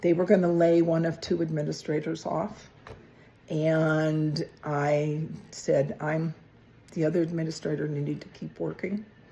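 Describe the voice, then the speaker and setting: A woman speaks at a fairly slow pace in a very deep, low register, her tone dark and mellow and her intonation flat and monotone. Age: 70s. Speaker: podcast co-host, retiree. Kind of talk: casual chat.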